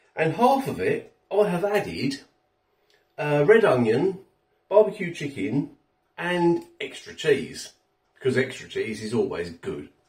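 Against a quiet background, a man talks very slowly with audible room echo. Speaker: food reviewer. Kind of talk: casual food review vlog. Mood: cheerful, relaxed. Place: kitchen. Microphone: phone near.

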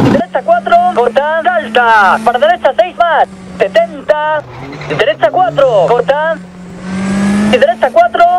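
Noticeable background noise runs beneath the voice. The pace is very slow, with long, frequent pauses. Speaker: rally co-driver. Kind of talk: rally co-driver pace notes read out. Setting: in a rally car.

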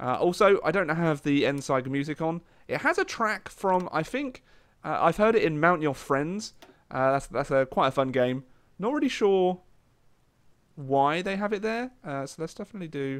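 On a very clean recording with a silent background, a man speaks at a moderate pace. His fairly high voice has lively intonation. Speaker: gaming YouTuber. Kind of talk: live gameplay commentary. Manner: casual, hesitant with frequent fillers.

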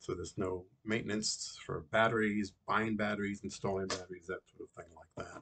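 Somewhat breathy, a man with a fairly low pitch speaks at a moderate pace. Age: 60s. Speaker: customer reviewer. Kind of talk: product testimonial; testimonial review. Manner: halting, with fillers and self-corrections. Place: home room. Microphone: webcam.

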